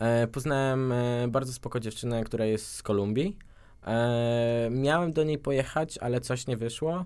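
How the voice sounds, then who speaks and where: A man talks in a normal speaking voice at a medium pitch and moderate pace, with ordinary pitch variation. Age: 20s. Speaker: language school ambassador, psychology student. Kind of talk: radio interview.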